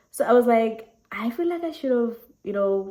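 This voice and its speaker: A woman in a South African accent at a moderate pace, with very wide pitch swings. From South Africa, Eastern Cape. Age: 20s. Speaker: YouTuber. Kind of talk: casual Q&A vlog. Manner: animated.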